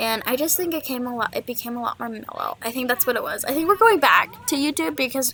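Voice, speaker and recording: This woman has a high pitch and talks at a very fast pace. Her intonation is lively, and there is noticeable background noise. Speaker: gaming YouTuber. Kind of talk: casual podcast-style monologue. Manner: quiet, holding voice down.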